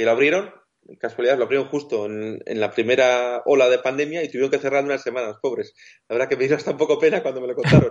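Here a man speaks at a very fast pace. His pitch is fairly high. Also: ordinary pitch variation. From Basque Country. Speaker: wheelchair-using travel blogger. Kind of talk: interview.

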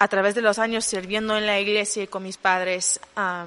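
Over noticeable background noise, a woman talks at a medium pitch with monotone, flat intonation. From Honduras. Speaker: youth leader. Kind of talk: interview. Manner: halting.

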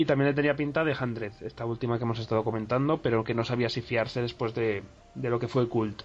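A man talks at a fairly quick pace with medium pitch. He has a normal speaking voice. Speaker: podcast host. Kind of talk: casual chat.

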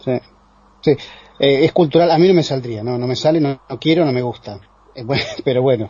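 The speaker has a Rioplatense accent and a moderate pace. Pitch variation is ordinary. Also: man, medium pitch for a man. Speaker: radio host. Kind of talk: radio talk show.

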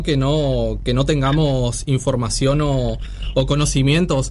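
A man speaks at very even loudness, his pitch fairly high and his intonation fairly even. Audible room echo and noticeable background noise surround him. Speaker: radio host. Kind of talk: casual radio interview.

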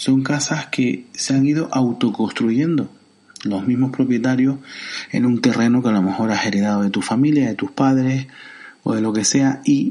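In a Canarian accent, a man talks at a moderate pace with a medium pitch, fairly even intonation and a dark, mellow tone. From Canary Islands, Santa Cruz de Tenerife. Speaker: podcast host. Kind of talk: solo commentary podcast. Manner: halting, many fillers.

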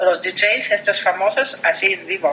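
A woman with a Russian accent, medium pitch and ordinary pitch variation, at a fairly slow pace, with noticeable background noise. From Russia, Voronezh. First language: Russian (speaking Spanish). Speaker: tourism sales professional. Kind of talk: interview.

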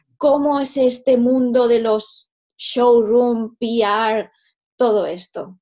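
Speaking at a very slow pace, a woman with a high pitch and a dark, mellow tone keeps fairly even intonation. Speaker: podcast host and fashion photographer. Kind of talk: interview.

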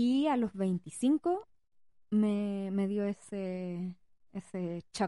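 Speaking very slowly with a Chilean accent, a woman uses a medium pitch, ordinary pitch variation and a dark, mellow tone in a dry, close recording with no echo. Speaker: podcast co-host, parent. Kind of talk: casual chat.

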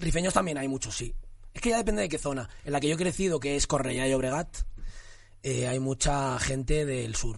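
Here a man with an unremarkable speaking voice talks at a moderate pace, fairly high in pitch, with ordinary pitch variation. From Barcelona area, Spain (Cornellà), Moroccan parents. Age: 30s. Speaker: actor. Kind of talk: casual chat.

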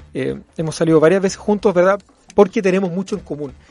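A man speaks with fairly even intonation in a Chilean accent. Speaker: constitutional lawyer and law professor. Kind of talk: interview.

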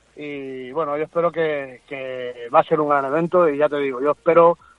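This is a man with a fairly high voice. He speaks at a moderate pace. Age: 40s. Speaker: MMA fighter and coach. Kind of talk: interview. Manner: animated.

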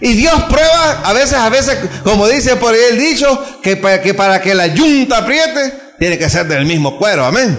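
A man speaks at an extremely high pitch with very wide pitch swings and very even loudness, at a moderate pace. Audible room echo and noticeable background noise are present. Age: 40s. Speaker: pastor. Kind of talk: sermon. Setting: church.

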